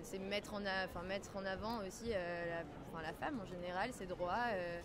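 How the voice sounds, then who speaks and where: A woman at medium pitch and a moderate pace, fairly even intonation, noticeable background noise and audible room echo. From Lebanon. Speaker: passerby interviewed in street poll. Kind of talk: street interview. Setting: outdoors in a park.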